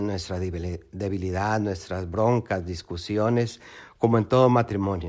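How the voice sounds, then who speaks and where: On a very clean recording with a silent background, a man with an ordinary speaking voice talks at a fairly slow pace with ordinary pitch variation. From Mexico. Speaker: lay missionary. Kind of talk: testimony.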